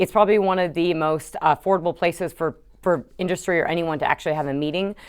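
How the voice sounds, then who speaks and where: A woman at a very fast pace, her pitch fairly low. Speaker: energy analyst and podcast host. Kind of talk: monologue podcast intro; live presentation. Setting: talk to live audience in a library. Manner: animated.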